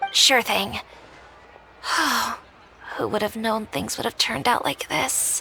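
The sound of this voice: A woman's put-on character voice, fairly high in pitch, with a bright, sharp tone, vocal fry and a slow pace. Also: ordinary pitch variation.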